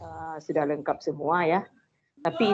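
This is a woman speaking. Her pitch varies in an ordinary way. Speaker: teacher participant. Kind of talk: question. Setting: video call. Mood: complaining, concerned. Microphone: video call.

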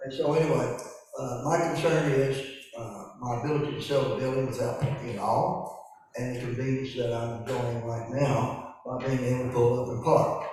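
With an American accent, a man of medium pitch speaks at a moderate pace and fairly even intonation, with audible room echo and noticeable background noise. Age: 70s. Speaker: local business owner addressing county commission. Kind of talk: public comment at meeting. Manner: halting, many fillers.

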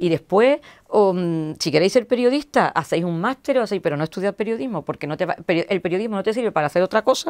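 Lively intonation runs through a woman's very fast delivery. The background is quiet. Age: old. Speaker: media executive and journalist; journalist interviewee. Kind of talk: interview; interview answer. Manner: halting, many repetitions. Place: studio. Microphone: lapel.

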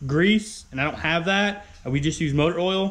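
A man is speaking. He goes at a fairly slow pace. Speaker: car builder vlogger. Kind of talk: casual vlog chat. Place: garage. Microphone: phone near.

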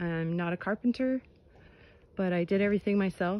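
A woman's voice, dry, with no echo. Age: 60s. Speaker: trailer owner, DIY builder. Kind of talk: casual DIY how-to talk to camera. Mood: proud, friendly. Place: open country. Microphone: phone near.

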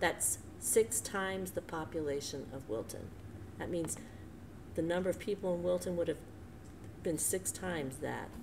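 A woman with an American accent speaks at a moderate pace with a very deep, low pitch and very wide pitch swings. Noticeable background noise runs under her voice. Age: 60s. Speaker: church co-leader; devotional host. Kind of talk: conversational devotional talk. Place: home room. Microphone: webcam.

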